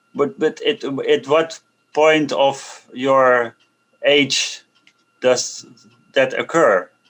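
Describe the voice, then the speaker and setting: The speaker has a non-native accent and talks very slowly. Long, frequent pauses break up speech of very even loudness. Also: man. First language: not English. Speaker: meeting participant asking questions. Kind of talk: Q&A question. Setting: video call. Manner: halting.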